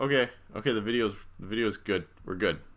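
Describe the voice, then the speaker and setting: On a very clean recording with a silent background, a man with an unremarkable speaking voice talks at a medium pitch and moderate pace with ordinary pitch variation. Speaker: physics instructor. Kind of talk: lecture. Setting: live stream.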